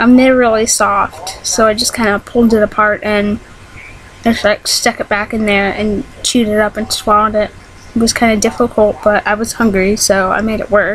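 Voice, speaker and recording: Against noticeable background noise, a woman speaks in a flat monotone at a fairly high pitch. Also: moderate pace. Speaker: vlogger. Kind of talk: casual vlog monologue. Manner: hesitant, many ums.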